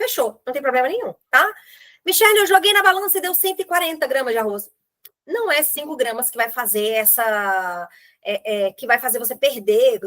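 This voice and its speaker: A high-pitched woman's voice at a moderate pace, with very wide pitch swings. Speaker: nutritionist. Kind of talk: online group meeting talk.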